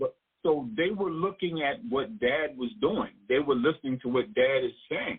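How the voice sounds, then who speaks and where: This man's voice sits fairly high with lively intonation. He keeps a moderate pace. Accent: American. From New York. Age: 60s. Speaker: author. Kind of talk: radio interview. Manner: halting, repeats words.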